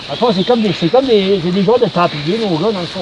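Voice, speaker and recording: Noticeable background noise runs through the clip. The man talks at a fairly quick pace. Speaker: LARP video host. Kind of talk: casual chat in character at live-action role-play. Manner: halting, many repetitions and fillers.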